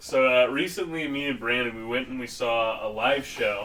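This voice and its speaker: A man speaks at a moderate pace in a medium pitch with ordinary pitch variation. Noticeable background noise runs underneath. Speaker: podcast co-host. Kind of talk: casual chat.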